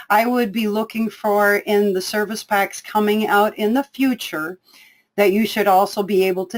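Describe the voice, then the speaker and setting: The speaker is a woman with a plain, everyday voice. She speaks at medium pitch and a moderate pace, with ordinary pitch variation. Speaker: software trainer. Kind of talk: webinar tutorial.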